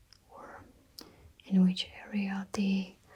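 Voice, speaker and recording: A soft-spoken woman speaks at a very slow pace. Her tone is dark and mellow, and somewhat breathy. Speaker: makeup ASMR creator. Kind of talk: ASMR makeup tutorial. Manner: soft-spoken, slow.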